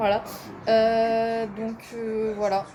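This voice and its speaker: A fairly high-pitched woman, with noticeable background noise. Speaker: vlogger and university student. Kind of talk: casual vlog talk to camera. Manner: hesitant, many fillers.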